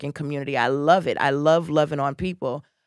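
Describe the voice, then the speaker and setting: A woman with an American accent talks at a very fast pace in a very clean recording with a silent background, the sound dry and close with no echo. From Chicago South Side. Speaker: political candidate. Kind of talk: interview. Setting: studio.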